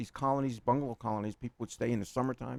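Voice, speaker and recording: With a New York accent, a man speaks at a medium pitch in a dry, close sound with no echo. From New York City (Queens). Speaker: accountant. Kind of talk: interview. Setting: radio studio. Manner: rambling, halting with repetitions.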